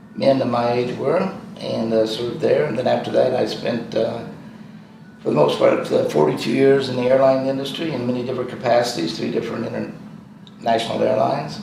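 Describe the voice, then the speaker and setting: Over noticeable background noise and with audible room echo, a man with an American accent talks at a fairly quick pace. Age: 70s. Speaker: retired airline worker and opinion writer. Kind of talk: interview. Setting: at his home. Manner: halting, many fillers.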